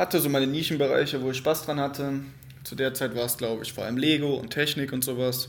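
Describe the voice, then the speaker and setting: Using fairly even intonation, a man with a fairly high pitch talks at a fairly quick pace broken by long, frequent pauses. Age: 20s. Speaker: podcast host, psychology student. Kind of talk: solo unscripted monologue. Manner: casual, conversational.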